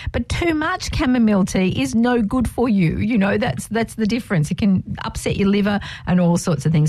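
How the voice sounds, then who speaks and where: A woman speaks at medium pitch with lively intonation and a fairly quick pace. Noticeable background noise can be heard. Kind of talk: radio dj patter. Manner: upbeat, cheerful, bantering; quick, friendly, teasing co-host.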